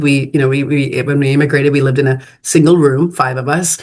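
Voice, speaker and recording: A woman with a very deep, low pitch talks at a very fast pace. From Texas, Fort Worth area, immigrant child. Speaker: finance and development leader. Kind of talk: interview conversation. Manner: halting, many fillers and repetitions.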